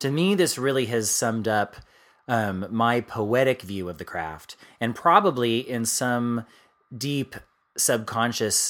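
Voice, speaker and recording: On a very clean recording with a silent background, a man with an unremarkable speaking voice and a medium pitch talks at a fairly slow pace with lively intonation. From US East Coast. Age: 40s. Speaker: podcast co-host and author. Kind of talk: casual chat.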